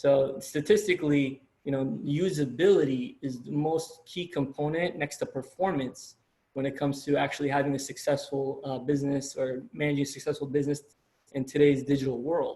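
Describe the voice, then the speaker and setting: A man's fairly high, somewhat breathy voice with a dark, mellow tone, fairly even intonation and a fairly quick pace. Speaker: college lecturer. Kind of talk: lecture. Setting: video call. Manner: fast.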